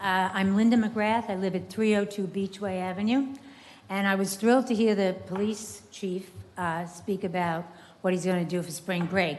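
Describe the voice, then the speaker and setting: A woman at a medium pitch and a moderate pace, with fairly even intonation and audible room echo. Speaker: resident speaking at public comment. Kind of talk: public comment at city meeting. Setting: city commission meeting chamber. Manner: halting.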